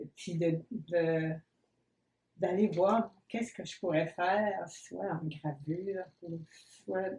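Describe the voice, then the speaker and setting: Speaking at a very slow pace, a woman with a fairly low pitch sounds somewhat breathy and dark and mellow in tone, with ordinary pitch variation. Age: 80s+. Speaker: painter. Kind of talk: interview. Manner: hesitant.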